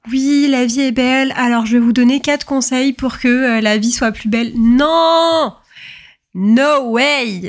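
Her voice sits at a high pitch with ordinary variation as this woman talks at a fairly slow pace. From French suburbs (banlieue). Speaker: podcast host. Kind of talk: casual monologue. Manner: hesitant, many fillers.

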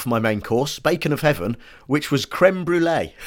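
Speaking with an English accent, a man uses lively intonation. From Britain. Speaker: comedian and writer. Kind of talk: casual chat.

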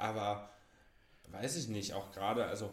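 A man speaks with a fairly low pitch. Audible room echo surrounds his voice. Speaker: podcast co-host. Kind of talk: casual chat. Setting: shared single microphone. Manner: quiet, soft-spoken.

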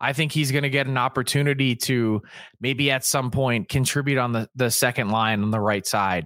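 Recorded very cleanly against a silent background, with a dry, close sound and no echo, a man uses an ordinary speaking voice at medium pitch with ordinary pitch variation, very even loudness and a moderate pace. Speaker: hockey insider and co-host. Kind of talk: casual chat.

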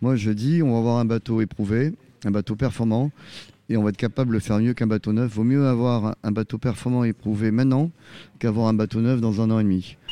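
Over a quiet background, a man with a dark, mellow tone speaks fairly quickly and with fairly even intonation, the sound dry and close with no echo. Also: medium pitch for a man, very even loudness. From southwest France, Arcachon. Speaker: offshore sailor. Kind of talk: interview. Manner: casual, familiar.

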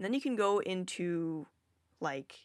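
Lively intonation marks this woman's medium-pitched voice, captured in a very clean recording with a silent background. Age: 20s. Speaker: podcast host. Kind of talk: casual solo talk on psychology. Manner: casual, conversational with fillers.

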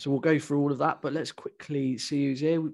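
A man with an English accent speaks at a fairly high pitch and a moderate pace. His intonation stays monotone and flat. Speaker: podcast host. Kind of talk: casual chat.

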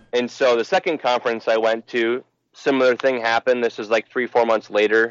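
This man has an unremarkable speaking voice and an American accent. His pitch sits at a medium level with fairly even intonation. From Minnesota (Burnsville, Twin Cities suburbs). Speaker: church member, marketing business owner. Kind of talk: casual chat; testimony.

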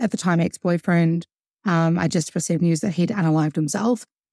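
Here a woman with a New Zealand accent speaks at a fairly low pitch with fairly even intonation. The sound is dry and close, with no echo. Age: 30s. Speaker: musician and songwriter. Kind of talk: casual interview.

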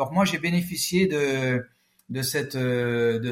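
A somewhat breathy man at a medium pitch with ordinary pitch variation. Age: 50s. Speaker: former police tactical officer, speaker. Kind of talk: interview.

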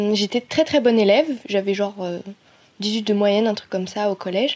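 A woman with a plain, everyday voice, fairly high in pitch, at a moderate pace with fairly even intonation. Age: 20s. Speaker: design student. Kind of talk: personal testimony.

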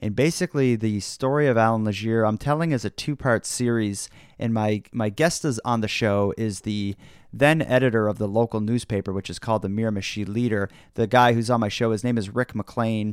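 Very cleanly recorded against a silent background, a man speaks with a Canadian Maritime accent. His voice sits at medium pitch with ordinary pitch variation. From Nova Scotia, Canada. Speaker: podcaster. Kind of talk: casual interview chat. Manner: fast talker, excitable.

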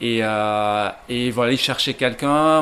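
A man's medium-pitched voice at a very slow pace. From Belgium, Ghent (Flanders). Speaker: coffee roaster. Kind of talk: interview. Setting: coffee roasting shop. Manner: halting, many repetitions and fillers.

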